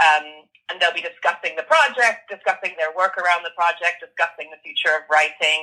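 Speaking at a fairly quick pace with hardly any pauses, a woman with an American accent has a fairly low pitch, ordinary pitch variation, a bright, sharp tone and big swings in loudness. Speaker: creative writing lecturer and novelist. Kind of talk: interview.

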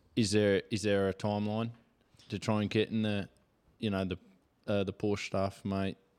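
In an Australian accent, a man speaks with a fairly low pitch and monotone, flat intonation. His pace is moderate. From Victoria, Australia. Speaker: podcast host. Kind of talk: casual chat. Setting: home studio.

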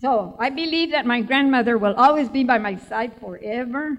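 A woman speaks at a moderate pace with ordinary pitch variation. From Tucson, Arizona. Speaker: author. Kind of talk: live book event talk. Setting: stage with audience.

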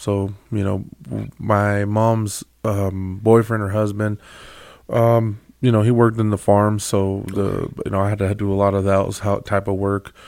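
A man's fairly low voice in an American accent, monotone and flat, at a moderate pace, on a very clean recording with a silent background. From California. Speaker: community volunteer and small business owner. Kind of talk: casual interview. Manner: halting, many fillers.

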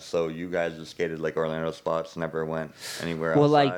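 A man's very deep, low voice at a fairly quick pace, flat and monotone, with noticeable background noise. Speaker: podcast guest.

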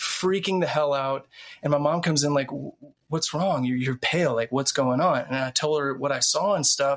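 A man with an American accent speaks in a normal speaking voice at a fairly high pitch. His pace is moderate and his pitch varies in an ordinary way. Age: 30s. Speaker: TV writer and researcher. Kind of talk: casual chat.

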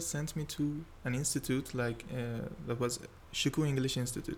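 Speaking with a Persian accent, a man has a medium pitch. His intonation is fairly even and his pace moderate. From Iran, Tehran. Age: 20s. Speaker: engineering student. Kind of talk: casual interview. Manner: halting.

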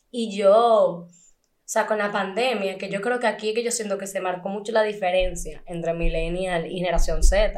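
With audible room echo, a woman speaks at a medium pitch and a moderate pace, with fairly even intonation. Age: 20s. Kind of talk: casual chat.

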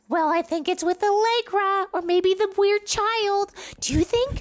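In a put-on character voice, the female-sounding speaker squeaks at an extremely high pitch and a moderate pace. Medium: actual play. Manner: rambling.

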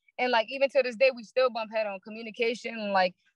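A woman with a New York accent, very fast pace, fairly high pitch and fairly even intonation, in a dry, close sound with no echo. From Brooklyn, New York. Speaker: barber. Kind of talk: casual chat.

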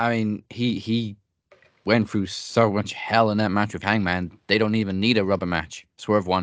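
A man talks at a moderate pace in an unremarkable speaking voice with a fairly low pitch. The background is quiet. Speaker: podcast host. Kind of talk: trivia quiz and predictions banter. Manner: upbeat, conversational.

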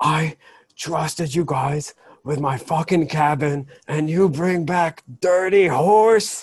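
Shouting in a put-on character voice, a man with a fairly high pitch goes at a fairly slow pace with ordinary pitch variation. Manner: screaming, angry.

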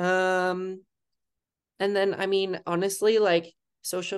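A woman with an American accent talks at a fairly slow pace in a normal speaking voice, her pitch fairly low, against a quiet background. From Wisconsin, US Midwest. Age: 20s. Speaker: founder of a queer business map. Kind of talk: casual interview chat.

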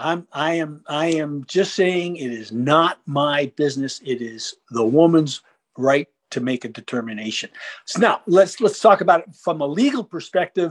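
In a quiet background with a dry, close sound and no echo, a man with an American accent speaks at a moderate pace in an unremarkable speaking voice, fairly high in pitch, with lively intonation and big swings in loudness. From New York suburbs (Westchester County). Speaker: gardening columnist and congressional candidate. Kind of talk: interview.

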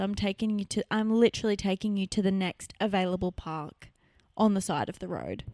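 An animated tone in an Australian accent, with a dry, close sound, no echo and a very clean recording with a silent background. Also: woman. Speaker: podcast co-host. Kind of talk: casual chat.

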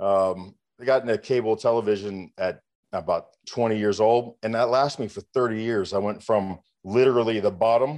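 Against a quiet background, a man with a normal speaking voice and a medium pitch speaks at a fairly quick pace with fairly even intonation. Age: 50s. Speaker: entrepreneur and business coach. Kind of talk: interview.

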